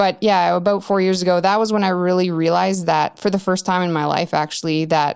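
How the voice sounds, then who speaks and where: A woman with a Canadian accent and a fairly low pitch talks at a fairly quick pace with fairly even intonation in an unremarkable speaking voice, in a very clean recording with a silent background. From Canada, Yukon (Whitehorse). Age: 30s. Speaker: early retiree sharing financial independence journey. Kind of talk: casual interview.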